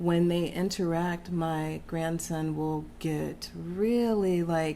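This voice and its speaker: Very slow speech in an American accent, with audible room echo. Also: woman. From Texas. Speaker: interview guest. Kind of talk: casual interview chat.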